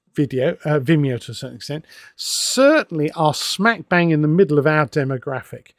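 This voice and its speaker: A man with an English accent speaks at a fairly high pitch and a moderate pace. The recording is very clean and silent in the background, with a dry, close sound and no echo. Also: big swings in loudness. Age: 60s. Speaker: wargaming magazine editor and author. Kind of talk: casual monologue. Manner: conversational with hesitations.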